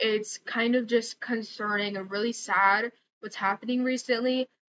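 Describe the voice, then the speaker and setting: In a normal speaking voice, a woman talks at a fairly slow pace with a fairly high pitch. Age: 20s. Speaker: vlogger. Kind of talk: casual chat. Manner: casual, filler-heavy.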